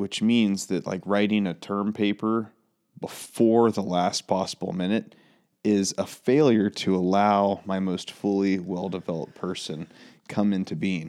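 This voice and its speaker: A man with a fairly low pitch, a plain, everyday voice, and an American accent, with fairly even intonation and a fairly slow pace. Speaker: pastor and podcast co-host. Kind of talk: casual chat. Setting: studio.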